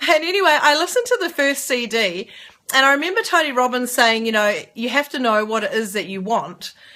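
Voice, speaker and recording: A woman with a New Zealand accent, bright and sharp in tone, with very wide pitch swings at a fairly quick pace, on a very clean recording with a silent background. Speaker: network marketer. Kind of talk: casual talk to camera. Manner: fast.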